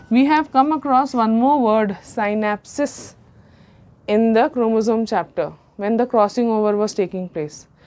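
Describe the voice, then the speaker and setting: A woman with a plain, everyday voice speaks at a fairly slow pace, her fairly high pitch showing ordinary variation. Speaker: biology teacher. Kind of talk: lecture.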